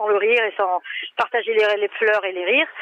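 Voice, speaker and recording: A woman speaks with a southern French accent. Her pitch sits in the middle range. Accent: southern French (Midi). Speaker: crime novelist. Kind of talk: interview.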